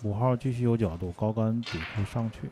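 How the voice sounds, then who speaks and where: A man at a medium pitch, fairly even in intonation and moderate in pace, with noticeable background noise. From Heilongjiang, Greater Khingan (Jiagedaqi). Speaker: billiards commentator. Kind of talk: live sports commentary.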